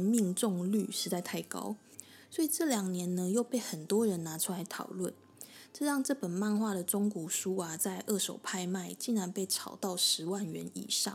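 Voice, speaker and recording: A woman's somewhat breathy voice, moderately paced, with lively intonation. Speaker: podcast host. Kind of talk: solo explainer monologue.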